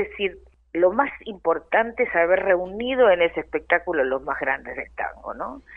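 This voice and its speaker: A normal speaking voice with lively intonation. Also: woman. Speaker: tango singer. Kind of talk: interview. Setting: phone or remote call.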